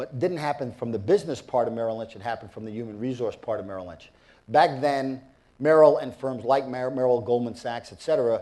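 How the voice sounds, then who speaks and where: A very fast male voice, medium in pitch, dark and mellow, with ordinary pitch variation and big swings in loudness. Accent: New York. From New York. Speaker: business executive and former football coach. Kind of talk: interview.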